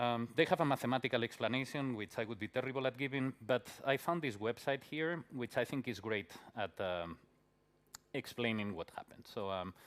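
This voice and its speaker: The speaker has a Spanish accent and talks at a fairly quick pace. Pitch variation is ordinary. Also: man, medium pitch for a man. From Spain. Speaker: conference speaker, software developer. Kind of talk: conference talk. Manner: many filler words and hesitations.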